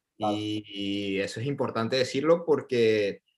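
This man speaks with a Venezuelan accent. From coastal Venezuela. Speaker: Venezuelan immigrant in Paris. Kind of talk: casual interview.

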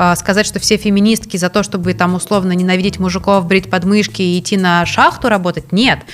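At a fairly quick pace, a woman speaks in a plain, everyday voice at a medium pitch, with fairly even intonation and very even loudness. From Russia. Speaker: NGO director, legal scholar. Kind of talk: casual interview. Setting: studio with film crew.

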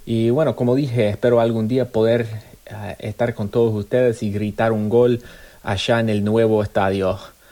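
A man's medium-pitched, dark and mellow voice at a moderate pace, monotone with flat intonation. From US, Arizona. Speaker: football fan. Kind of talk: personal story.

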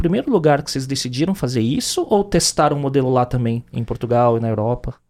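A man speaks at a very fast pace. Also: very clean recording, silent background. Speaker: podcast host. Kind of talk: interview.

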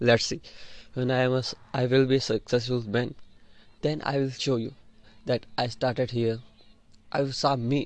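The delivery is monotone and flat at a moderate pace, broken by long, frequent pauses. The background is quiet. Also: man, medium pitch for a man. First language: an Indian language (not English). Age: young (18). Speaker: student and podcaster. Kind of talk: personal monologue. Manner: halting, repeats words.

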